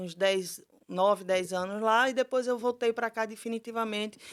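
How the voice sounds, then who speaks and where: Pitched fairly high, a woman speaks in a Pernambuco accent. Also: very clean recording, silent background. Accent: Pernambuco (northeastern Brazilian). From Brazil, Recife (Pernambuco). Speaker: lawyer, foundation founder. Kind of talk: podcast interview.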